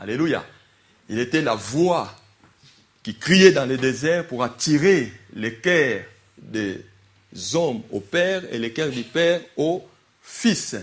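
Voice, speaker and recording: A man's fairly high voice at a very slow pace, with long, frequent pauses and lively intonation. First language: not French (speaking French). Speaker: preacher. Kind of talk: sermon. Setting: church. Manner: animated.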